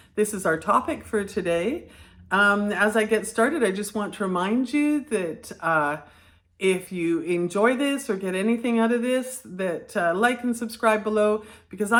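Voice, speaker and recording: A woman at a fairly high pitch and moderate pace, with ordinary pitch variation. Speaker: teacher trainer, former classroom teacher. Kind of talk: educational video talk. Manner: partly reading from notes.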